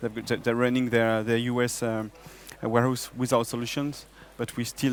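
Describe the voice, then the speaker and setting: Music plays behind a man with a French accent. His medium-pitched voice stays monotone and flat. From France. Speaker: software business developer. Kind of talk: conference stage interview.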